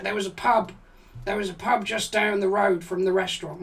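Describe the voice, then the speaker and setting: Putting on a raspy character voice, a man speaks at a fairly quick pace with high pitch and fairly even intonation. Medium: game stream. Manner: rambling, hesitant, profane.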